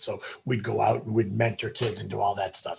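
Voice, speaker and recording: A man with an American accent talks at a very fast pace. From New England, outside Boston. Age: 60s. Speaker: former stock exchange floor trader. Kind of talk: interview storytelling. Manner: loud.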